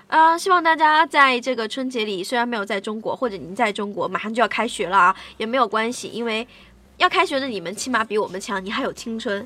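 A woman's fairly high, bright, sharp voice at a very fast pace, with lively intonation. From Shaanxi, northern China. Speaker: radio host. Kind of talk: casual chat.

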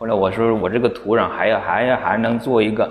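A man talks in a normal speaking voice, medium in pitch and moderate in pace. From Hunan, near Xiangtan. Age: 40s. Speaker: artist. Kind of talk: casual chat. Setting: studio.

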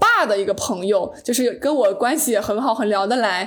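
This woman talks at a moderate speed. Her voice leaps very widely up and down in pitch. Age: 20s. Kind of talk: interview.

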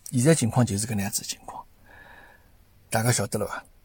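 This man's tone is dark and mellow. His voice is somewhat breathy. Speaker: podcast host. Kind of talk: casual commentary monologue. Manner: halting, many fillers.

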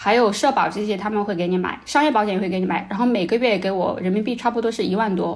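A woman talks at a very fast pace with hardly any pauses. Her medium pitch shows ordinary variation over noticeable background noise. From China. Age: 30s. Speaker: former NGO worker in Africa. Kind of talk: casual chat.

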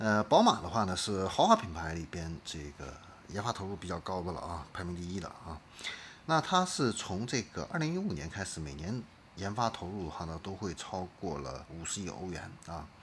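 Very deep and low in pitch, a man talks at a moderate pace with ordinary pitch variation and big swings in loudness. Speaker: podcast host. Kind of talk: solo commentary on car industry. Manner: many filler particles and hesitations.

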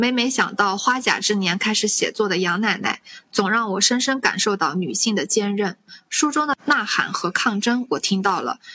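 A woman speaks at a moderate pace in a plain, everyday voice. Her pitch is fairly high and her intonation lively. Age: 20s. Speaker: podcast host. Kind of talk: casual chat.

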